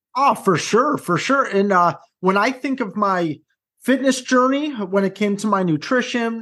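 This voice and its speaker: With an American accent and an energetic tone, a man speaks at a moderate pace in a high pitch. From US Midwest, southwest side of Chicago. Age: 30s. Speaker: high school guidance counselor and motivational speaker. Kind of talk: interview.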